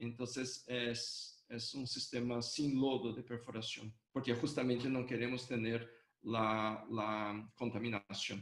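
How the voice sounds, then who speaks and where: A man with a Brazilian accent, at a very slow pace, in monotone, flat intonation. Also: medium pitch for a man. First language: Portuguese (speaking Spanish). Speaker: hydrogeology professor, invited lecturer. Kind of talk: Q&A answer. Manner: halting, many fillers.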